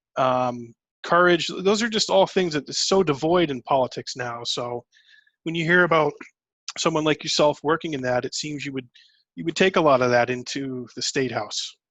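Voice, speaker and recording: A man's fairly high voice, a normal speaking voice, with ordinary pitch variation at a moderate pace. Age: 30s. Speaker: podcast host. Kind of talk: interview. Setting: video call.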